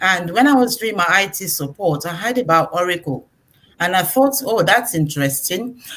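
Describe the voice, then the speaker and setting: Her voice is fairly low in pitch, and this woman, with a Nigerian accent, swings her pitch very widely. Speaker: IT professional. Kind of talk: testimony.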